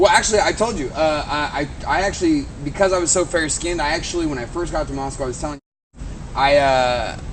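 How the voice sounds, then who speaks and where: In a room with audible echo, a man talks very fast with an American accent. His pitch varies in an ordinary way. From United States. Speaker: video show host. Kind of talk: casual chat.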